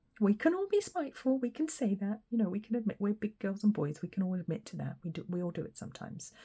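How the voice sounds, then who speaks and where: Very fast and somewhat breathy, a woman speaks with lively intonation. Her pitch is medium and her tone dark and mellow. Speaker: tarot reader. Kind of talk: tarot reading. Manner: animated.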